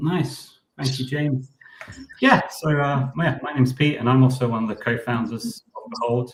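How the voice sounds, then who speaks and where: A man speaks with a British accent at a medium pitch. His pace is moderate and his intonation fairly even. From United Kingdom. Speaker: startup co-founder, designer. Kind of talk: live stream Q&A presentation.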